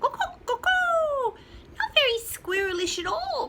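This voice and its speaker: A squeaky, put-on character voice at an extremely high pitch moves at a fairly slow pace over clear background noise. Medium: read story. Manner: crowing.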